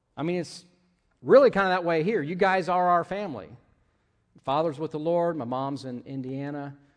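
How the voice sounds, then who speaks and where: Over a quiet background, a man with a fairly high pitch talks at a moderate pace, taking long, frequent pauses, his loudness swinging widely while his pitch varies in an ordinary way. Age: 50s. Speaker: pastor. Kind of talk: sermon. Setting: church.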